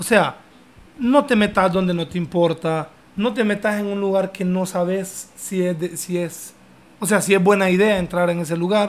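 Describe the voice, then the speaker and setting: With a Honduran accent, a man speaks high-pitched at a moderate pace with fairly even intonation. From Honduras. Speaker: podcast host. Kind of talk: casual chat.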